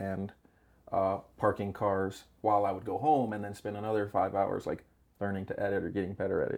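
A plain, everyday voice. It moves at a fairly quick pace. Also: man, very clean recording, silent background. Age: 30s. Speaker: VFX editor. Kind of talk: casual panel discussion. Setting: studio table.

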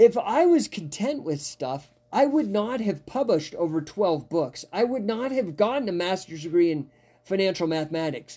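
On a very clean recording with a silent background, a man speaks in an animated tone at a high pitch, his voice making very wide pitch swings. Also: moderate pace. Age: 50s. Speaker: podcast host and coach. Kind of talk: live-streamed casual podcast talk with chat shout-outs; angry rant, profane tirade against COVID rules and bureaucracy. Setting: live stream with viewer comments, from Denver. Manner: animated, rambling, laughs often.

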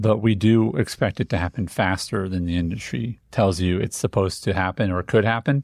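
A plain, everyday voice speaks at a moderate pace with ordinary pitch variation. The recording is very clean with a silent background, and the sound is dry and close with no echo. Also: man. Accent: American. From Indiana, US Midwest. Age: 40s. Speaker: business coach, podcast guest. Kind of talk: podcast conversation.

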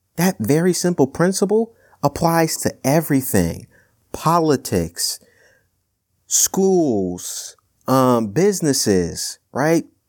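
The pace is very slow and the loudness very even. Pitch swings very widely throughout. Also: man, fairly high pitch for a man. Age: 20s. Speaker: podcast host. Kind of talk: solo commentary podcast. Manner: casual, many fillers.

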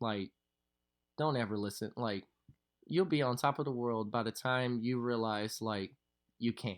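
A man with a Southern US accent talks at a fairly slow pace, leaving long, frequent pauses, with ordinary pitch variation on a very clean recording over a silent background. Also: medium pitch for a man. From Louisville, Kentucky. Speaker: professional dancer. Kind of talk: casual interview.

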